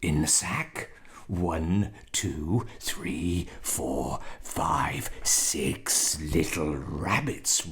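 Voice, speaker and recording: A man whispers in a put-on character voice. His pace is very slow. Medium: read story. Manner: gloating, gruff.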